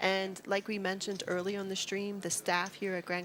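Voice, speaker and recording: Background noise is noticeable as a woman talks. Her pitch is medium and her pace fairly quick. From US Northeast, New Jersey. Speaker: poker commentator. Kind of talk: live commentary. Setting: casino.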